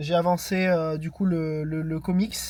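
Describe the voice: The man's voice has a slightly mellow tone.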